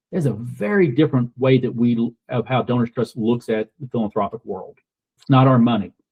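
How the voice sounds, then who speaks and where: A man's somewhat breathy, medium-pitched voice with a Southern US accent, fairly quick pace and ordinary pitch variation. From US South, rural Kentucky. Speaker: donor-advised fund representative, military veteran. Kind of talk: podcast interview.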